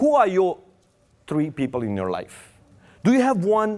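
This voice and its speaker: Romanian accent on a very clean recording with a silent background. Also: man. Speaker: preacher. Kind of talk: sermon. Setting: church.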